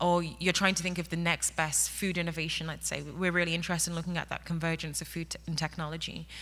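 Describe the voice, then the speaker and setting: A very fast delivery in an English accent, bright and sharp in tone. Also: woman. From England. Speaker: workplace technology executive. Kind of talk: conference panel talk. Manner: animated.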